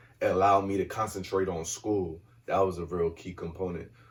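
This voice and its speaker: The voice is soft-spoken and somewhat breathy. It moves at a fairly quick pace. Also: man. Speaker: guest on a community podcast, works with kids. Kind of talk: casual conversation. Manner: mellow, laid back, soft-spoken.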